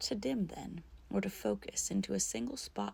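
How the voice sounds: Someone reads in a natural reading voice.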